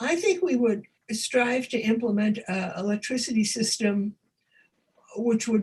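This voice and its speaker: A woman talks at a fairly high pitch with ordinary variation in her tone. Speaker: author and former energy project manager. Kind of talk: lecture Q&A. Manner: halting.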